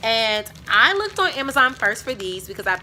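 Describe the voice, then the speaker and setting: A woman talks at a moderate pace while noticeable background noise persists. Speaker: teacher and video creator. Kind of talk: casual haul video.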